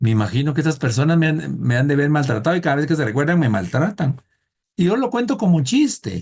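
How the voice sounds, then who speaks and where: Somewhat breathy and at a fairly high pitch, a man speaks at a very fast pace with very even loudness and very wide pitch swings. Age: 60s. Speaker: thanatology teacher. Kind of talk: lecture. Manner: conversational, humorous storytelling.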